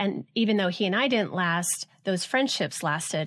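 This woman speaks at a moderate pace with ordinary pitch variation. The recording is very clean, with a silent background. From Southern California (Los Alamitos, near Orange County). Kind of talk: interview conversation.

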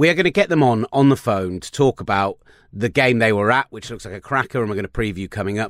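A man with a British accent talks at a fairly quick pace. The recording is very clean, with a silent background and a dry, close sound with no echo. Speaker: NFL podcast host. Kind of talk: casual sports chat. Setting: studio.

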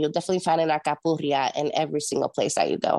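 Against a quiet background, a woman with a Spanish accent and a fairly low pitch speaks in a dry, close sound with no echo. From Puerto Rico and Jacksonville, Florida. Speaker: radio host and event producer. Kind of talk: casual interview chat.

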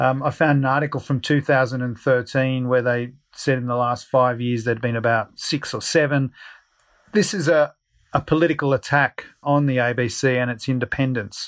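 A man with an Australian accent, medium pitch and fairly even intonation at a moderate pace, on a very clean recording with a silent background. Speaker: journalists' union president. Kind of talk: interview.

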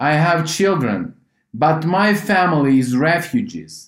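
Very slow speech with lively intonation, in a Ukrainian accent. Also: man. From Ukraine. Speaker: humanitarian organization head. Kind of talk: interview. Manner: halting.

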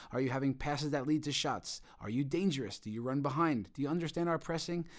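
In a very clean recording with a silent background, the speaker has an unremarkable speaking voice. The accent is American. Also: man. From New York, Long Island. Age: 40s. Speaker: football coach. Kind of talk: interview.

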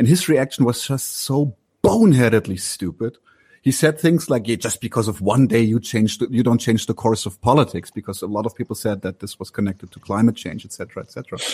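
A man talks at a fairly quick pace in a medium pitch, somewhat breathy, with ordinary pitch variation. His loudness swings widely, and the sound is dry and close with no echo. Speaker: political podcaster. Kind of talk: political discussion.

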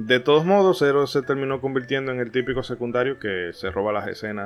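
Music plays behind a man speaking at a medium pitch. He talks at a fairly quick pace with lively intonation. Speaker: podcast host. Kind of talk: scripted narration; casual chat.

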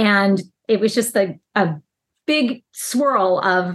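Against a quiet background, a woman with an American accent talks at a medium pitch. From Chicago. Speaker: police officer. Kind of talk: interview testimony.

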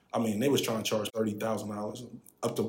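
A somewhat breathy voice speaks in a monotone, with flat intonation. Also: man. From Philadelphia, Pennsylvania. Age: 40s. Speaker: tech advisor. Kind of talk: casual interview.

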